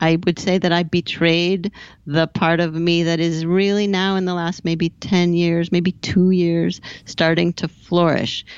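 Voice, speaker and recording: A woman speaks at a fairly slow pace in an ordinary speaking voice. Her pitch is fairly low. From US West Coast, Southern California. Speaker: business coach. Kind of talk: interview.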